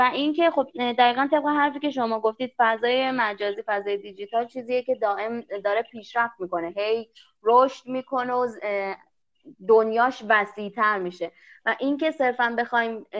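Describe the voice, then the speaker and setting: With an unremarkable speaking voice, a woman talks at a moderate pace in a fairly high pitch, showing ordinary pitch variation and big swings in loudness. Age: 20s. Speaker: master's student and Korean language teacher. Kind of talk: casual interview. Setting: remote call.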